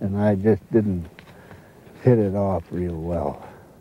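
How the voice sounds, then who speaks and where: Against noticeable background noise, a man with an American accent speaks at a very slow pace. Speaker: river guide and naturalist. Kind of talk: casual explanation.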